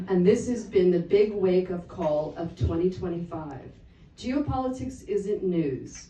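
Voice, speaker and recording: This is a woman with an ordinary speaking voice. She has an American accent and a fairly low pitch. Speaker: geopolitical analyst. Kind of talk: conference talk.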